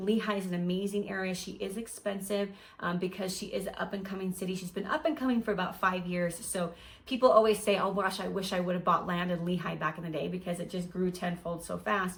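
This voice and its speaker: A woman talks at a very fast pace and a medium pitch. Noticeable background noise can be heard behind her. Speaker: realtor. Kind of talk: real estate advice video.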